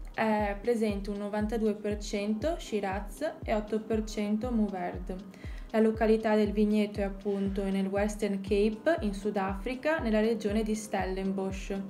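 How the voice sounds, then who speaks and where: Over faint background music, a woman talks at a very slow pace with fairly even intonation. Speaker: wine blogger. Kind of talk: tutorial. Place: home room. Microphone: phone near.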